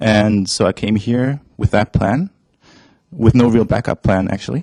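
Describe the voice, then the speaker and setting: Speaking at a fairly slow pace with a German accent, a man uses a medium pitch and ordinary pitch variation, recorded dry and close with no echo. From Germany. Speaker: esports company staff and translator. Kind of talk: interview. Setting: studio. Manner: hesitant, with fillers.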